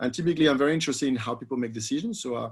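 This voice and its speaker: A man talks with a French accent. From France. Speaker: economics professor, researcher. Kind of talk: panel discussion answer. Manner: halting, many repetitions and fillers.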